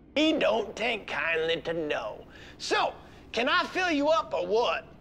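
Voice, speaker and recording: A put-on character voice at fairly high pitch and fairly slow pace, with clear background noise. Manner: put-on, comedic.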